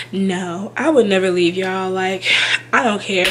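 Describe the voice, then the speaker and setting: A woman talks at a medium pitch over noticeable background noise. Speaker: YouTuber, childcare worker. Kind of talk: casual vlog talk to camera. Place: home room. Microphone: webcam.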